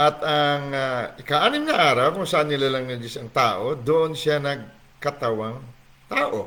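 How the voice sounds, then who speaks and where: With noticeable background noise behind him, a man speaks fairly slowly at a fairly high pitch and with fairly even intonation. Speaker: online Bible teacher. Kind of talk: livestream Bible teaching. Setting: livestream from home on laptop. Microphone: laptop mic, asks if volume is okay.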